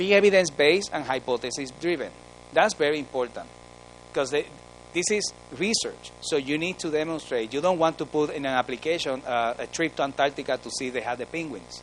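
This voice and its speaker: Talking at a fairly quick pace, a man with a Spanish accent uses ordinary pitch variation. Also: fairly high pitch for a man. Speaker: research training officer. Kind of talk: conference presentation. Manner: animated.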